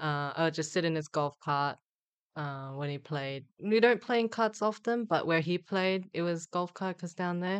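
In a Korean accent, a woman speaks with fairly low pitch and ordinary pitch variation. The background is quiet. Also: moderate pace. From South Korea (Busan). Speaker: LPGA tour golfer and Olympian. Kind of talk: casual interview.

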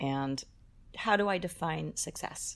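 A woman with an American accent. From Boston area, US. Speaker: singer-songwriter. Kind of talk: casual interview chat.

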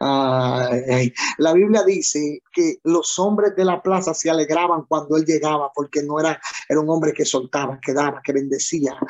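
A man talks at a fairly slow pace in a fairly high pitch. His pitch variation is ordinary. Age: 30s. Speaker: pastor. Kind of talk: sermon. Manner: animated.

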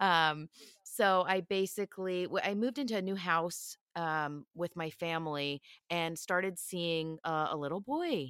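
A woman talks in an ordinary speaking voice, fairly low in pitch, at a fairly slow pace with ordinary pitch variation. The sound is dry and close with no echo. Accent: American. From Philadelphia, US. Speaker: psychic medium. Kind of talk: casual interview chat.

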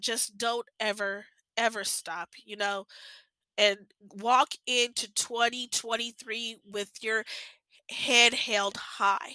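A woman speaks very slowly in a fairly high, bright and sharp voice. Her intonation is flat and monotone. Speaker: podcast host. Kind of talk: casual monologue. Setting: cold location. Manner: halting.

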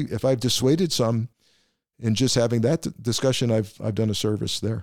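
A man's medium-pitched voice with a dark, mellow tone and an American accent, at a moderate pace, in a very clean recording with a silent background. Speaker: podcast host, former FBI official. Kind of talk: interview conversation.

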